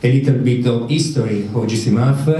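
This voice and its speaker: A man speaks at a moderate pace and medium pitch with fairly even intonation. Audible room echo and noticeable background noise are present. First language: Italian. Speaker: medical researcher. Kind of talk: conference talk. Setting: conference with audience. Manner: halting, many fillers.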